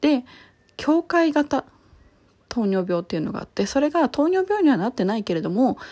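Her dark, mellow voice moves at a moderate pace with very wide pitch swings. The woman is recorded very cleanly against a silent background. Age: 30s. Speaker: podcaster. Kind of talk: casual monologue.

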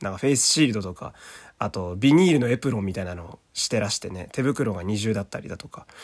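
A man's fairly low voice at a very fast pace, with lively intonation and big swings in loudness. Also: very clean recording, silent background. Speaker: voice actor. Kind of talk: casual solo podcast talk. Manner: halting, many fillers.

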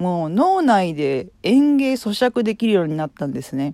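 A woman's voice makes very wide pitch swings. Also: dry, close sound with no echo. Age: 40s. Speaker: podcaster. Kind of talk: casual monologue. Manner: rambling, filler-heavy.

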